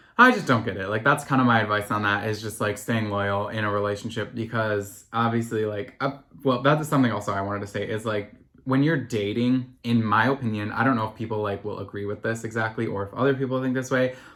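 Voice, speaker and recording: Very fast delivery from a man with an American accent, with hardly any pauses. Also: medium pitch for a man. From US, small town. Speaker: podcast host. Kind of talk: solo podcast talk. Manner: casual, filler-heavy.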